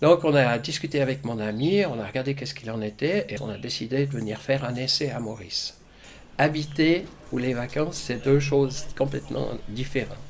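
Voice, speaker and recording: In an unremarkable speaking voice, a man talks at medium pitch and a moderate pace with ordinary pitch variation. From Switzerland, Gruyère (Fribourg). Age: 60s. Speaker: retiree. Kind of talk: interview.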